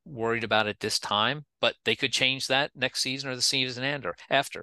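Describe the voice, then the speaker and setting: A man with an American accent has an ordinary speaking voice at a medium pitch and moderate pace. The sound is dry and close with no echo, and the background is quiet. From Pennsylvania. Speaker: state wildlife agency director. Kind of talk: interview.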